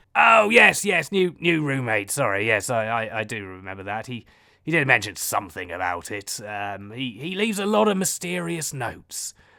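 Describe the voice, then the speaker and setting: A man puts on a raspy character voice, barely pausing at all, on a very clean recording with a silent background. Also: medium pitch for a man, moderate pace. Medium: audio drama. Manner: theatrical, self-regarding.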